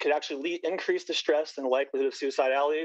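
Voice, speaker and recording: Talking at a very fast pace, a man uses a fairly high pitch and monotone, flat intonation. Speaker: public hearing testifier, parent. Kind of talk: public testimony. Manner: halting.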